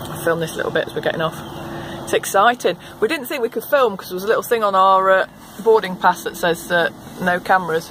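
The speech comes at a very fast pace. Light background noise is present. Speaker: travel vlogger. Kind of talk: casual vlog chat. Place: train. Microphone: phone near.

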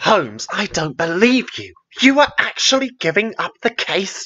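This is a put-on character voice with a hissing sound. The pace is moderate. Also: man, high pitch for a man. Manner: hissed, shocked, incredulous.

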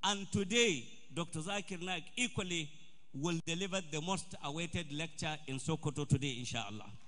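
With a northern Nigerian accent, a man speaks in a bright, sharp tone at a fairly high pitch with lively intonation. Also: moderate pace. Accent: Nigerian Hausa English. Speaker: event organizer. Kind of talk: formal speech. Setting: stage with audience, PA system. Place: hall. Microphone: podium.

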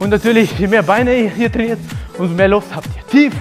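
Clear music plays in the background. Over it, a man with a high pitch talks at a moderate pace. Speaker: thai boxing trainer. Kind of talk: workout instruction. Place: gym.

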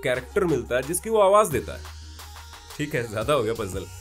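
A man's fairly high voice with very wide pitch swings and faint music in the background. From Jaipur, Rajasthan, India. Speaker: voice over artist and theatre artist. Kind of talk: casual explainer talk to camera. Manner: friendly, conversational. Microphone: studio mic.

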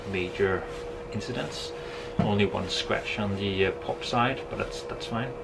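Loud background noise fills the clip as a man talks at a fairly slow pace. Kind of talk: casual vlog chat. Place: boat. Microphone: phone near.

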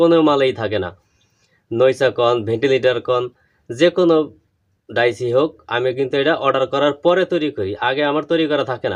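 Medium pitch and ordinary pitch variation in a man's voice, an unremarkable speaking voice. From Bangladesh, Madaripur district. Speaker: craftsman selling mould dies. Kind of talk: tutorial and sales talk to camera.

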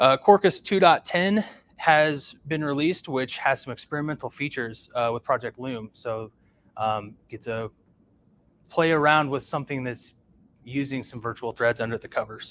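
A man talks at a moderate pace with ordinary pitch variation, his loudness swinging widely. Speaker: meetup host. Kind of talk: presentation of news items. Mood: relaxed, light humour. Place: home room.

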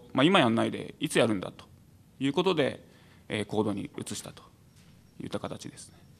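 Vocal fry colors this man's speech, which moves at a fairly quick pace with lively intonation, big swings in loudness and long, frequent pauses. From Saitama, Japan. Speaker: venture support organization head; panelist. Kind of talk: panel discussion. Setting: stage with audience. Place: hall. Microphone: podium.

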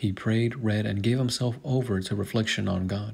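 A man talks at a moderate pace in a medium pitch, his voice somewhat breathy and his intonation fairly even. The recording is very clean, with a silent background. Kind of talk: hagiography reading.

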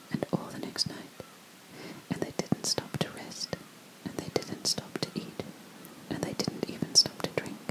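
A soft-spoken woman whispers at a moderate pace, leaving long, frequent pauses. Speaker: storyteller. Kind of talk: storytelling reading aloud. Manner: soft close-mic ASMR whisper. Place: home room. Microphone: studio mic.

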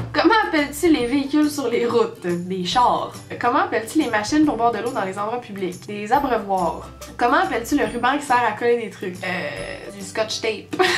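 Over faint background music, a woman with a Quebec accent speaks at a moderate pace in a high pitch, her intonation lively. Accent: Québécois French. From Quebec, Canada. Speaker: vlogger. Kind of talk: casual talk to camera. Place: home room. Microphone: webcam.

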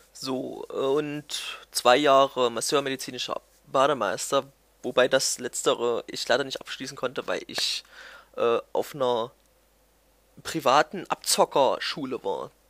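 A man speaks at a fairly slow pace. The sound is dry and close with no echo, in a very clean recording with a silent background. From Germany, Thuringia (near Erfurt). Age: 20s. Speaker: gaming YouTuber. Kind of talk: casual vlog monologue. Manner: hesitant, many fillers.

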